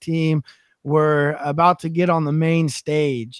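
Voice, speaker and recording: Against a quiet background, a man speaks at a high pitch and a fairly slow pace, with a dry sound with no echo. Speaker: podcast host. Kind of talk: casual interview. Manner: animated. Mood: relaxed, joking. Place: studio. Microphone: studio mic.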